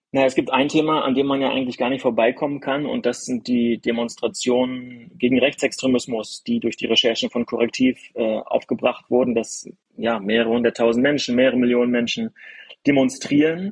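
This man has a normal speaking voice, medium in pitch, talking at a fairly quick pace with fairly even intonation, recorded with a dry, close sound and no echo. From northeastern Germany, village near Rostock. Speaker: sports journalist and author. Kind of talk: casual conversation.

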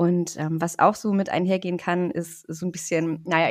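Over a quiet background, a woman with an ordinary speaking voice and a fairly low pitch talks at a moderate pace. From northern Germany, Rostock (Baltic coast). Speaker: psychologist. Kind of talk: interview.

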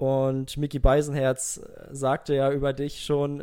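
Dark, mellow tone in a man's fairly high-pitched voice. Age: 20s. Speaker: podcast host. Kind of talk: casual chat.

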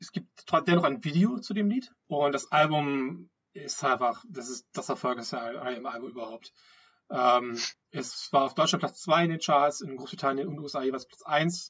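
Speaking in a plain, everyday voice, a man has a fairly high pitch, lively intonation and big swings in loudness. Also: moderate pace. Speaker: podcast host. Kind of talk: casual chat. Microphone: wrong microphone, poor sound quality.

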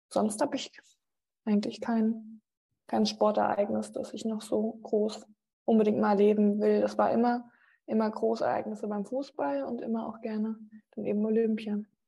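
The voice has a dark, mellow tone and sounds somewhat breathy. Long pauses come often. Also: woman, fairly high pitch for a woman, fairly even intonation, moderate pace. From Rhineland-Palatinate, Germany (Mainz family, moved often). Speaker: sports TV presenter. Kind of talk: interview.

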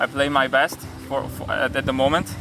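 A man's fairly high-pitched voice is heard against noticeable background noise. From Hungary. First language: Hungarian (speaking German). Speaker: professional tennis player. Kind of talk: interview. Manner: halting, repeats words.

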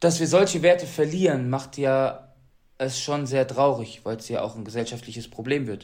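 A man talks in a plain, everyday voice at a moderate pace. His pitch varies in an ordinary way, while his loudness swings widely. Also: medium pitch for a man. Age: 30s. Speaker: Paralympic athlete. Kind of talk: interview.

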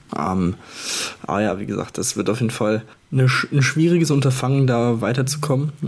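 There is noticeable background noise as a man talks at a moderate pace. His medium-pitched voice has lively intonation. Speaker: handball co-host analyst. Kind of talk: casual sports discussion.

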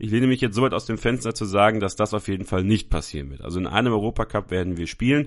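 Over a quiet background, a man with a fairly low pitch talks at a very fast pace. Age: 20s. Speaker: football podcast host. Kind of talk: solo football talk show.

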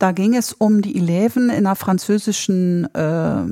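In a plain, everyday voice, a woman at medium pitch speaks at a fairly slow pace, with a dry, close sound with no echo on a very clean recording with a silent background. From northern Germany. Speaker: flamenco dancer and dance teacher. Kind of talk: casual interview.

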